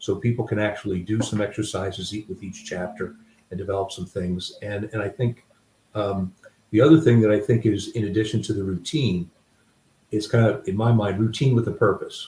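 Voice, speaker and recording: A man talks at a fairly quick pace in a fairly low pitch, with fairly even intonation. His tone is dark and mellow, and somewhat breathy. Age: 60s. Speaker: author. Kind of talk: interview. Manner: halting.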